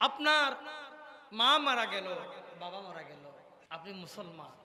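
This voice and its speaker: In a space with audible room echo and noticeable background noise, a man speaks in an animated tone with very wide pitch swings. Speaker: Islamic preacher. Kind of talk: sermon. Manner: animated, call-and-response with audience.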